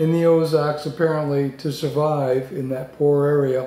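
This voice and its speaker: A man speaks at a fairly slow pace with fairly even intonation. Music plays in the background, and the room echo is audible. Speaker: book reviewer. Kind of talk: book review talk to camera. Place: home room. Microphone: webcam.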